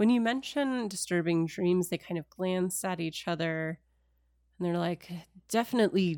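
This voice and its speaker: A woman's plain, everyday voice, fairly low in pitch, with ordinary pitch variation and a moderate pace, dry and close with no echo, on a very clean recording with a silent background. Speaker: game master running a tabletop role-playing game. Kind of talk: tabletop role-playing game actual play, narrating and chatting. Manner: narrating, descriptive, conversational.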